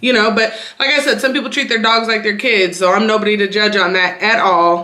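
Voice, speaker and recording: Amid noticeable background noise and audible room echo, a woman at medium pitch speaks with an American accent. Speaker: YouTuber. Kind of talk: casual vlog talk. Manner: fast.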